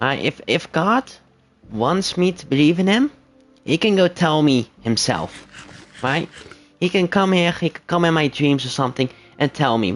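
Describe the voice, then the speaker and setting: Speech moves at a fairly slow pace with lively intonation. Music sounds in the background. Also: man, fairly high pitch for a man. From Netherlands, bilingual English and Dutch. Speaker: gaming livestreamer. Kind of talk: casual livestream chat. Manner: hesitant, many fillers.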